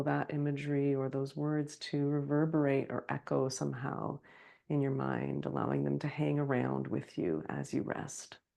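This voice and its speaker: A woman speaks in a soft-spoken way. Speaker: meditation teacher. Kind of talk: guided meditation. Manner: slow.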